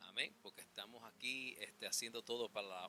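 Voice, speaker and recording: A man of medium pitch with a non-native accent, fairly even intonation and a moderate pace, with music in the background. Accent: non-native Spanish, imperfect pronunciation. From New York City, the Bronx. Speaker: preacher. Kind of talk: sermon. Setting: church. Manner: halting, many fillers.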